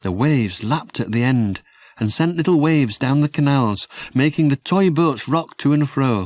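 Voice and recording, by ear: A man talks at a fairly slow pace and a medium pitch, with lively intonation. His tone is slightly mellow.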